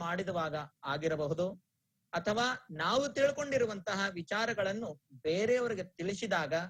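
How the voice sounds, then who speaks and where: A high-pitched man with a Telugu accent and lively intonation. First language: Telugu (speaking Kannada). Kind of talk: religious discourse. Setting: online broadcast. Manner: measured, pause-filled delivery.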